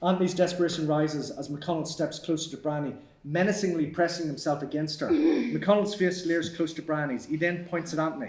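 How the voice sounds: The delivery is fairly quick, with few pauses. Room echo can be heard. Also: man, fairly high pitch for a man, ordinary pitch variation.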